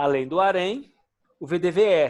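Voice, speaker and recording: A man speaks at a fairly slow pace. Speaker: occupational safety instructor. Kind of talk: lecture.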